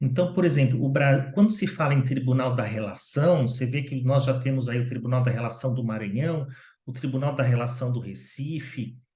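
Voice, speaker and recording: Somewhat breathy and dark, mellow in tone, a man speaks with a Brazilian accent amid audible room echo. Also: medium pitch for a man, ordinary pitch variation, moderate pace. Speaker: lawyer. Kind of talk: interview. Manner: animated.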